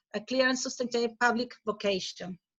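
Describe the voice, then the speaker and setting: This woman has a Chilean accent. Her voice is fairly high. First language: Spanish. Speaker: professor. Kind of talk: conference presentation. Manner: halting.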